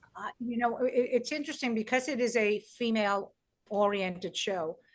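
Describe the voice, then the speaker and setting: A woman with a New York accent speaks at a moderate pace in a fairly high pitch, with ordinary pitch variation. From New York, Brooklyn. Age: 60s. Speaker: stand-up comedian and comedy producer. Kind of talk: interview conversation. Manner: animated; halting.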